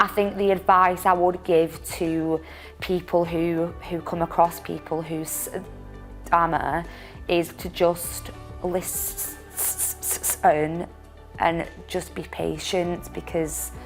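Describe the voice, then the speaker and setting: A woman talks at a very slow pace with music in the background. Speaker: digital marketing assistant. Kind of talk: personal testimony to camera. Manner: stammers, disfluent with repetitions and blocks.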